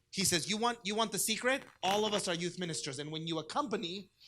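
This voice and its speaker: A man speaks with a Spanish accent at a fairly quick pace. His tone is bright and sharp, his intonation lively. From US, Southern California (Orange County), Mexican-American family. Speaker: diocesan youth ministry director. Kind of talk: conference presentation. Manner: conversational, engaging.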